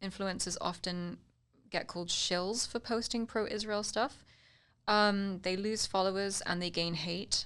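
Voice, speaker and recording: A woman with a British accent talks at a fairly slow pace in a medium pitch, her intonation fairly even, in a very clean recording with a silent background. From United Kingdom. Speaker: political commentator and social media influencer. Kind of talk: casual political chat. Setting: studio.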